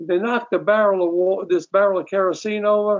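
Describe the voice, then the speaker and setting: This man speaks with a New York accent at a fairly quick pace. His pitch is high and his intonation fairly even. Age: 80s. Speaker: musician and former film editor. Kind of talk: casual interview. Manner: talkative, rambling storyteller.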